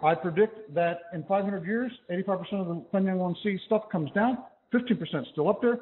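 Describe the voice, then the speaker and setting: A loud man at a very fast pace, high-pitched, with ordinary pitch variation. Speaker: physics professor. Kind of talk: lecture.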